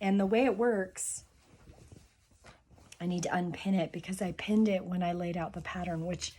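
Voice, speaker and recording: Somewhat breathy and dark, mellow in tone, a woman speaks at a fairly low pitch and moderate pace with monotone, flat intonation. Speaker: sewing and historical costume vlogger. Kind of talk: tutorial.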